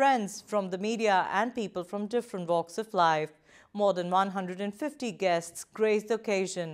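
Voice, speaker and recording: A woman's fairly slow speech, ordinary pitch variation, and a quiet background. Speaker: news presenter. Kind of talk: news reading. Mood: calm, formal. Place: studio.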